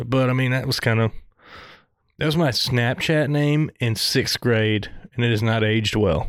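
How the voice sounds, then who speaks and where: A man's medium-pitched voice in a Southern US accent, at a moderate pace with ordinary pitch variation and very even loudness. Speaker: podcast co-host. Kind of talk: casual chat.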